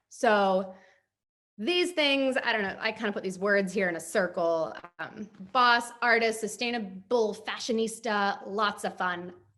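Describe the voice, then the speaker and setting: The voice has a bright, sharp tone. It moves at a fairly slow pace. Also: woman, medium pitch for a woman, ordinary pitch variation. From Los Angeles, US West Coast. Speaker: photographer and director. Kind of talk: workshop presentation. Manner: casual, filler-heavy.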